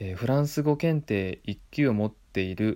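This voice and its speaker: Over a silent background in a very clean recording, a man talks at a moderate pace in a fairly low, dark, mellow voice with lively intonation. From Japan, Tottori Prefecture. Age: 30s. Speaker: podcast host. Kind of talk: solo monologue. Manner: calm.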